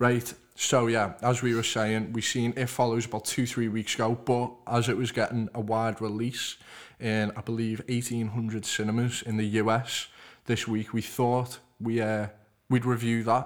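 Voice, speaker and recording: A man with a Liverpool accent talks at a moderate pace in a monotone, flat intonation at a medium pitch. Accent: Liverpool (Scouse) English. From Liverpool, England. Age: 20s. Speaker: podcast host. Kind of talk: casual chat.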